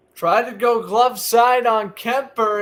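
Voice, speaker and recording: This man speaks in an American accent with a high-pitched voice. His delivery is fairly slow. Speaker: sports podcast host. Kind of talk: live play-by-play commentary. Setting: live stream on camera.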